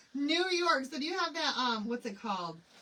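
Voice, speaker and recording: A woman speaks in an animated tone with an American accent, her pitch swinging very widely. Noticeable background noise runs behind her. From Michigan. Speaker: craft live streamer. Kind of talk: live craft tutorial chat. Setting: live stream. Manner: chatty, animated.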